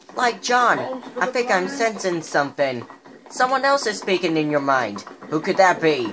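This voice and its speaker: Against noticeable background noise, a woman's voice swings very widely in pitch. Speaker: gamer doing a skit. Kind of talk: role-play voices over gameplay. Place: home room. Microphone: phone near.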